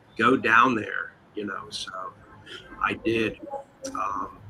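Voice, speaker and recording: Noticeable background noise sits behind a man talking at a mid-range pitch. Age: 60s. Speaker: online show host. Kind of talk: casual chat.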